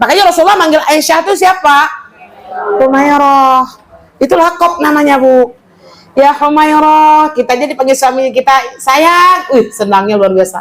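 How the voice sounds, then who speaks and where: A woman speaks at a high pitch with lively intonation and a moderate pace. Her loudness stays very even, and there is noticeable background noise. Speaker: female Islamic teacher. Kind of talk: religious study lecture. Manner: animated.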